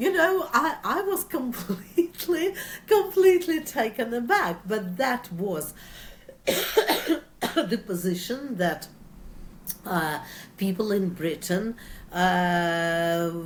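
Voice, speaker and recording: With a Russian accent, a woman speaks at a very slow pace in a fairly high pitch. Her voice makes very wide pitch swings over noticeable background noise. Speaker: author. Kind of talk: interview. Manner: halting, frequent fillers.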